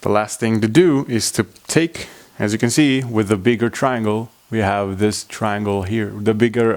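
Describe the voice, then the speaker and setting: A man with a fairly low voice talks at a moderate pace, his pitch varying in an ordinary way. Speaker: origami tutorial maker. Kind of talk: tutorial. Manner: halting.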